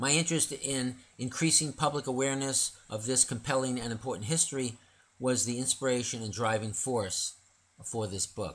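At a moderate pace, the speaker has an ordinary speaking voice with ordinary pitch variation. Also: man, medium pitch for a man. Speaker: narrator and author reading his own illustrated poem book. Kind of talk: reading aloud a rhyming illustrated poem story. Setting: audio recording of a book read aloud. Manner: measured, rhythmic cadence with sing-song rhymes, formal and didactic.

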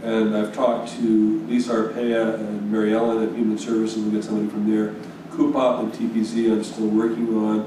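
A man's fairly quick, flat monotone delivery, with audible room echo and noticeable background noise. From US Northeast. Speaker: town board member. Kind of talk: public meeting. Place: meeting room. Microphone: podium.

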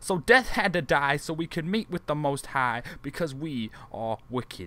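A man speaks with an intense tone at a fairly high pitch. His pitch swings very widely at a moderate pace. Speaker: spoken word poet. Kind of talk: spoken word poem. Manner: rhythmic, rhyme-driven, intense delivery.

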